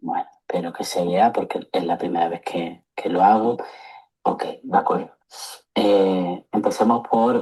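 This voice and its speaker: Long, frequent pauses at a fairly slow pace. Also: man. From Seville, Andalusia, Spain. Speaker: psychologist. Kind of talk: lecture. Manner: hesitant, many fillers.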